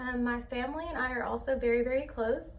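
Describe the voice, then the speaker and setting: A woman at a high pitch and moderate pace, with fairly even intonation, audible room echo and noticeable background noise. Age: 20s. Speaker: college student. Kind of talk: class presentation speech. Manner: hesitant, many fillers.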